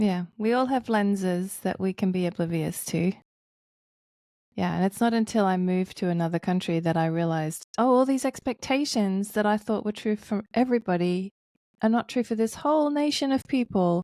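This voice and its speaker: A woman speaks at a moderate pace with a medium pitch, lively intonation and a dark, mellow tone. Her loudness stays very even, and the sound is dry and close, with no echo, on a very clean recording with a silent background. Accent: Australian. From Australia. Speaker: pastor and author. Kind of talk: podcast interview.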